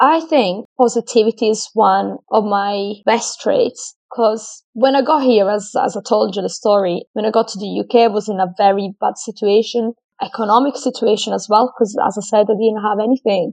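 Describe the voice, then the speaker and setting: In an Italian accent, a woman with a fairly high pitch and ordinary pitch variation talks at a moderate pace with hardly any pauses, in a dry, close sound with no echo over a quiet background. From Italy. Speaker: food scientist and fitness professional. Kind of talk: casual interview.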